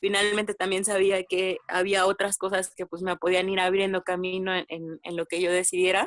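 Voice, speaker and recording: A woman's moderate-paced, monotone, flat delivery with hardly any pauses and a dry, close sound with no echo. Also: medium pitch for a woman. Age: 20s. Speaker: podcast guest. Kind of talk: casual chat.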